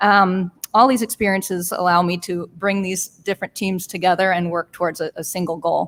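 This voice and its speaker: A woman with an American accent uses a normal speaking voice at a medium pitch, with fairly even intonation. She moves at a fairly quick pace with hardly any pauses, in a dry, close sound with no echo. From southwest Michigan. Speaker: social worker, city commission candidate. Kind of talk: candidate forum opening statement. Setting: live radio forum with audience.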